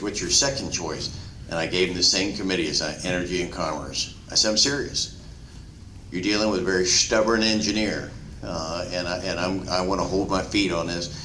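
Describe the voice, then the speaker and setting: With an American accent, a man talks in a very deep, low pitch, leaving long, frequent pauses, and the room has an audible echo. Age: 60s. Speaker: politician. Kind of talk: town hall speech. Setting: town hall meeting with audience. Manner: halting, many fillers and repeats.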